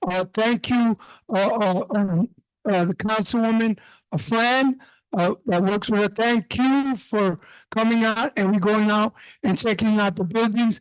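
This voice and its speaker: Over a quiet background, the talking proceeds at a fairly slow pace. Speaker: community board member. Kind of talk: meeting report. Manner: loud.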